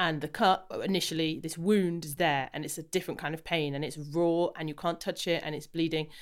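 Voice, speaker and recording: In a very clean recording with a silent background, a woman talks with an English accent. Her pace is fairly quick, with hardly any pauses. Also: fairly low pitch for a woman. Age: 30s. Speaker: podcast host and wellness coach. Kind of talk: interview. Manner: enthusiastic.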